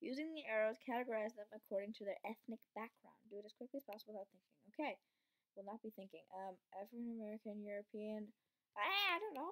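Talking at a very fast pace, a woman shows ordinary pitch variation against a quiet background. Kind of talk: casual commentary while reading quiz text. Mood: amused, a bit unsure. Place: home room. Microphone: webcam.

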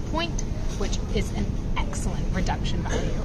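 A woman at a moderate pace against loud background noise. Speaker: travel vlogger. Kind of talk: casual vlog chat. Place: station. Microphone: phone near.

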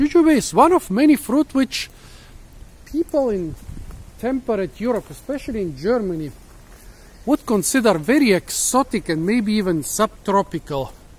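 Moving at a moderate pace, a man's voice swings very widely in pitch. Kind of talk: casual educational commentary. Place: garden. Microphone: phone near.

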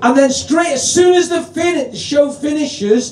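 With audible room echo, a man speaks at a fairly slow pace and with ordinary pitch variation. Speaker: comedy compere. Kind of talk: stand-up compering. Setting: stage with audience. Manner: loud.

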